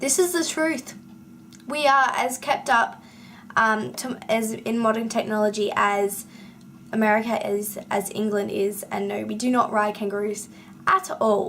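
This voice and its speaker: Delivered at a fairly slow pace in an Australian accent, the speech comes with noticeable background noise. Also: woman, fairly high pitch for a woman, ordinary pitch variation. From Western Australia. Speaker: book vlogger. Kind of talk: casual vlog monologue.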